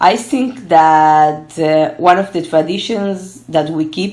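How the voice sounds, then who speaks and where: Speaking with a Spanish accent at a very slow pace, a woman uses a fairly low pitch and ordinary pitch variation, with audible room echo around her. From Argentina, then Israel from age twelve. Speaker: gerontology researcher. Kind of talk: interview. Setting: online call from home.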